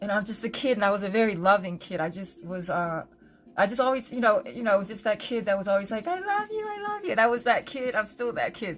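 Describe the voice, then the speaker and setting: Noticeable background noise accompanies a woman speaking at a very fast pace. Her pitch is fairly high, with ordinary variation. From Korea, then Philadelphia area US from age 5. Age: 50s. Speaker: livestreamer and designer. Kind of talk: casual livestream chat, personal story. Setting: home livestream. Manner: halting, many fillers.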